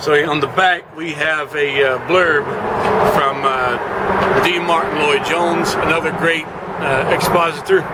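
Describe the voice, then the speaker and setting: With audible room echo and noticeable background noise, a man speaks fairly slowly at a fairly high pitch and with fairly even intonation. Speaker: book reviewer. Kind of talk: casual review. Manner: halting, many fillers.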